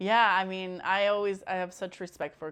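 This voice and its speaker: A woman with a fairly low pitch speaks over a quiet background. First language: Spanish. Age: 30s. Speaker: podcast host. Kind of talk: casual chat. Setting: guest's home. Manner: halting, repeats words.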